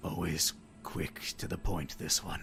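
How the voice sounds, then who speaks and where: A man puts on a raspy character voice at a fairly slow pace. Background noise is clear. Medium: actual play. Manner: dry, amused, grandfatherly.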